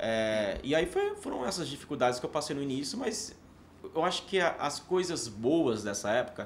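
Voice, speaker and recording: The man's fairly high voice swings very widely in pitch. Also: moderate pace. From Paraíba backlands, Northeast Brazil. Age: 30s. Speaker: actor and theatre teacher. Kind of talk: podcast interview. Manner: hesitant, repeats words.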